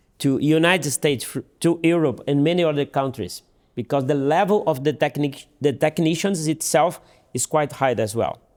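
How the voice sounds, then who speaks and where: A man with a Portuguese accent speaks at a moderate pace in a fairly high voice with ordinary pitch variation, in a very clean recording with a silent background. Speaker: dental surgeon. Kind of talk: interview. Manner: halting, with repeats and fillers.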